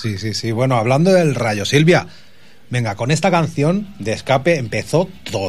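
Somewhat breathy, this man's voice moves through very wide pitch swings. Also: medium pitch for a man, moderate pace. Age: 40s. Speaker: radio host. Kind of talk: casual chat. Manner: animated.

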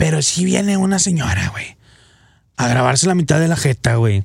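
A man's animated, fairly high voice with very wide pitch swings and long, frequent pauses. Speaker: radio host. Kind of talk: casual chat.

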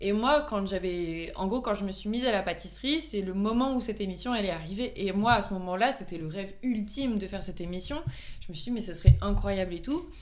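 With audible room echo, a woman at a medium pitch talks at a fairly quick pace with ordinary pitch variation. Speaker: volunteer firefighter and amateur pastry baker. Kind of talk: casual chat.

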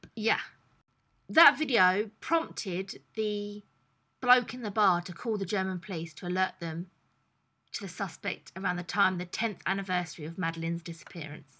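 A woman speaks with a British accent at a moderate pace, her pitch in the medium range and her tone bright and sharp. Her loudness swings widely on a very clean recording with a silent background. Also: ordinary pitch variation. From England. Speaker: podcast co-host. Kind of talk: casual chat.

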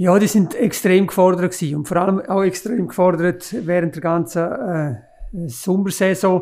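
Moderate-paced speech from a man, high in pitch, with ordinary variation in pitch. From Graubünden, Switzerland. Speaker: mountain railway executive. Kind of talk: podcast interview. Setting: office, around a desk.

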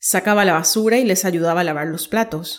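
A woman with an ordinary speaking voice talks at a moderate pace and medium pitch with ordinary pitch variation, in a very clean recording with a silent background. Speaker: podcast host and story narrator. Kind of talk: scripted dramatic narration of a short story, read aloud.

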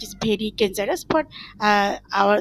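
In a Bengali accent, a woman speaks at a very slow pace. The sound is dry and close, with no echo. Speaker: NGO project coordinator. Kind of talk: panel discussion. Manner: halting, many fillers.

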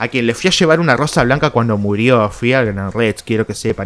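A man speaks in an animated tone. His intonation is lively. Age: 30s. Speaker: podcast host. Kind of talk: casual solo monologue.

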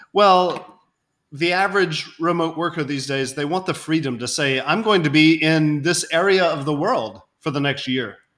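An unremarkable speaking voice belonging to a man, fairly high-pitched with ordinary pitch variation, comes through at a moderate pace on a very clean recording with a silent background. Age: 40s. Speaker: insurance company founder. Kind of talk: interview.

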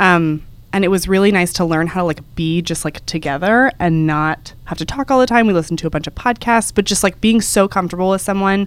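A woman with an American accent speaks at a medium pitch and a fairly quick pace, with ordinary pitch variation and hardly any pauses, in a normal speaking voice. The recording is very clean, with a silent background. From Texas. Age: 20s. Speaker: podcast co-host, travel editor. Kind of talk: casual chat.

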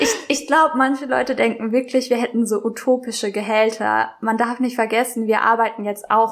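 A woman speaks at a moderate pace in a fairly high, monotone, flat voice. She hardly pauses at all. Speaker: podcast co-host. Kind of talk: casual chat. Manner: natural, conversational.

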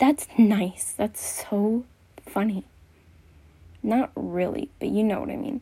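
A woman's fairly high, somewhat breathy voice with a dark, mellow tone, very slow pace, long, frequent pauses, ordinary pitch variation and big swings in loudness. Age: 20s. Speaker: solo podcaster. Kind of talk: casual monologue. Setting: home bedroom. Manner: rambling, frequent laughs.

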